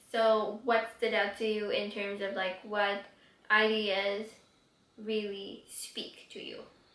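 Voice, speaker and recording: Very slowly, a woman speaks in a fairly high, monotone voice with flat intonation and big swings in loudness. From Quebec City, Canada. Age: 20s. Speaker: YouTuber, book reviewer. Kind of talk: casual talk to camera.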